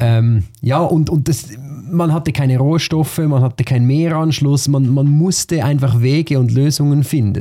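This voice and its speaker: This man's voice sits fairly high in pitch, somewhat breathy and dark and mellow in tone, moving at a moderate pace with very even loudness and ordinary pitch variation. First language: Swiss German (speaking German). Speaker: podcast host. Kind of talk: interview conversation.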